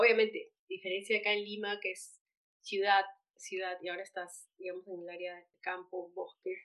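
A woman's delivery stays monotone and flat while her loudness swings widely. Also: medium pitch for a woman, moderate pace. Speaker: podcast host. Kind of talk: interview.

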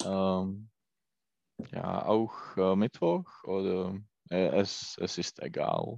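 A man with a Czech accent speaks very slowly in a very deep, low voice, flat and monotone, with long, frequent pauses. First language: Czech (speaking German). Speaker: German learner, credit analyst. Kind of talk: language lesson conversation. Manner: halting.

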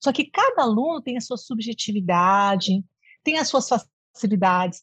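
Somewhat breathy, a woman's voice comes across with a dry, close sound and no echo. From interior of São Paulo state, Brazil. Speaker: music professor. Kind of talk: interview.

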